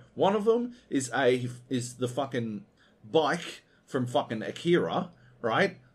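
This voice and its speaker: A man speaks at medium pitch with lively intonation. His tone is animated. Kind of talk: angry rant. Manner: animated, sweary, sarcastic and exasperated; fast, scornful, mocking delivery.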